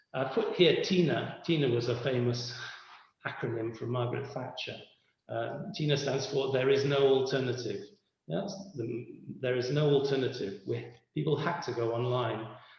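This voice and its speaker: A man's medium-pitched voice at a moderate pace with ordinary pitch variation and audible room echo. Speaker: lecturer. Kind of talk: lecture.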